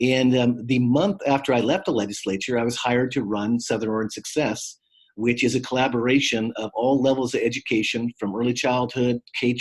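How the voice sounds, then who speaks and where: A man speaks at a fairly quick pace in a normal speaking voice, his medium pitch carried by fairly even intonation. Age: 60s. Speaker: former state legislator and community trainer. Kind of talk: guest lecture. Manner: frequent fillers, uh and um.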